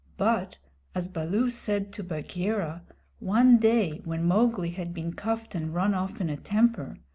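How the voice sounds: Reading happens in a natural voice throughout.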